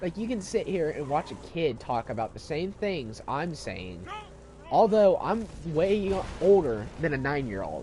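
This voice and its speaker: With noticeable background noise, a man speaks at a high pitch. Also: fairly slow pace. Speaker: video game streamer. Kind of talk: casual chat during gameplay livestream. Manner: hesitant, many fillers.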